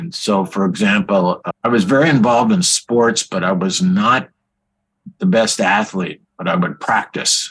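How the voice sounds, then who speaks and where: A speaker with a Californian accent talks with very wide pitch swings. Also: man. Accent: Californian American. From California, Bakersfield. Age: 80s+. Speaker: physician. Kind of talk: interview.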